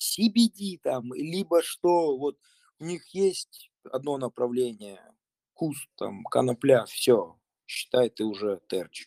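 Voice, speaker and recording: A man's fairly high, dark and mellow voice at a very slow pace, with very wide pitch swings and a dry, close sound with no echo. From Russia. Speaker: urban farmer. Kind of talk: group discussion.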